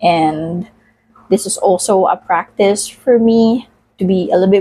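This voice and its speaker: This woman has a medium-pitched voice with a dark, mellow tone and ordinary pitch variation. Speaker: vlogger. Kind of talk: casual vlog monologue while cooking. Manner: halting, many fillers.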